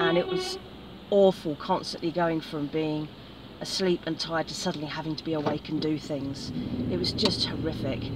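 A woman talks at a moderate pace, the sound dry with no echo, amid noticeable background noise. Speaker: hiking vlogger. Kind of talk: casual vlog chat. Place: car. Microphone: phone near.

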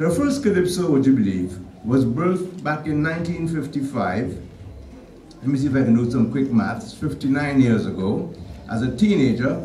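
Over light background noise and audible room echo, a man talks at a moderate pace in a fairly high pitch with lively intonation. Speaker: radio/TV personality giving a tribute introduction. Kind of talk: tribute speech at a stage event. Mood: warm, lightly humorous. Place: church. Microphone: podium.

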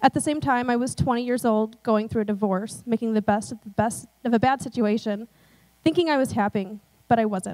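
A woman speaks at a fairly quick pace with ordinary pitch variation, and the background is quiet. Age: 20s. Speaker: church member being baptized. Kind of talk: testimony. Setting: church. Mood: earnest, personal. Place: stage. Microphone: handheld.

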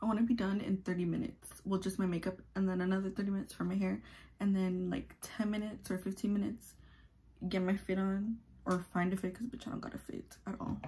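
Speaking at a very fast pace, a woman has a medium pitch and a somewhat breathy voice. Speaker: YouTuber. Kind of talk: casual get-ready-with-me vlog. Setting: at home. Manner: quiet, near-whispering; animated, profane.

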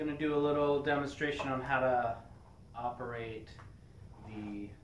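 Against light background noise and audible room echo, a man speaks at a fairly slow pace with fairly even intonation. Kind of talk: tutorial. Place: workshop.

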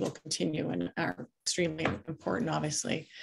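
A woman talks with vocal fry against a quiet background. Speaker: meeting facilitator. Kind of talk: facilitated group discussion. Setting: video call. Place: home room. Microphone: webcam.

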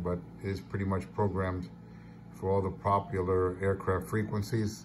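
Background noise is noticeable behind this man. He talks at a moderate pace with a fairly low pitch. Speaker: radio amateur selling gear. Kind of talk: casual show-and-tell sale description. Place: home room. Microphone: phone near.

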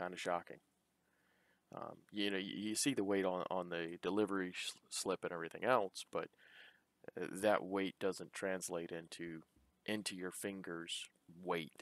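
Recorded in a dry sound with no echo, a man with a very deep, low pitch speaks at a fairly slow pace, with fairly even intonation and long, frequent pauses. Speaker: YouTuber, hobby woodworker. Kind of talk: product unboxing voiceover. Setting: home garage workshop. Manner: hesitant, many fillers. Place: workshop.

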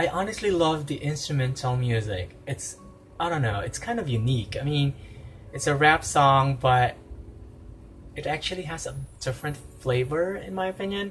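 Over music in the background, a man speaks with lively intonation and long, frequent pauses. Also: moderate pace. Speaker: reaction video host. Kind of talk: casual vlog chat. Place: home room. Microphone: phone near.

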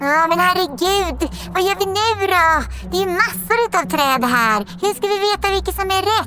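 A put-on character voice at an extremely high pitch comes through over clear background noise. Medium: audio drama. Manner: cheeky, playful.

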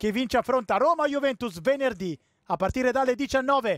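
On a very clean recording with a silent background, a man speaks at a moderate pace with an extremely high pitch and ordinary pitch variation, in a dry, close sound with no echo. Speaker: football commentator. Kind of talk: live sports commentary on a youth football match. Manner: rising excitement at goals.

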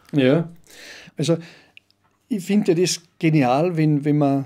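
Against a quiet background, a man talks at a fairly slow pace in a dark, mellow tone. His pitch is fairly high with ordinary variation. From Austria, Salzburg (Pongau, Werfen); Austria. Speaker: business coach and brass band chairman; business coach. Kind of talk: casual chat. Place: studio. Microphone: studio mic.

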